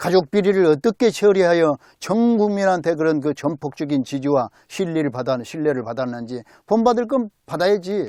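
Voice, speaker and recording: Recorded very cleanly against a silent background with a dry, close sound and no echo, this man speaks at a moderate pace in a high pitch with very wide pitch swings and a dark, mellow tone. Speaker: political commentary vlogger. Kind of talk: casual political monologue. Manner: animated.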